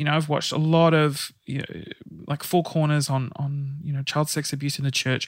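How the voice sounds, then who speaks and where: This man's voice sits at a fairly high pitch and moves at a moderate pace. The recording is very clean, with a silent background. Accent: Australian. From Sydney, Australia. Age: 30s. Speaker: guest sharing coming out story. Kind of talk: casual chat. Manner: animated.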